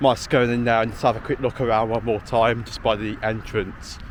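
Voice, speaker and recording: A man speaks at a moderate pace and medium pitch. Noticeable background noise sits behind him. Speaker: outdoor vlogger. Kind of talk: walking vlog narration. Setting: outdoors. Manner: loud.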